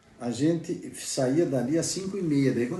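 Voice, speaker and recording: Fairly quick speech from a man with a fairly high voice, amid noticeable background noise and audible room echo. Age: 60s. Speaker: former student. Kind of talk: testimony. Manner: halting, repeats words.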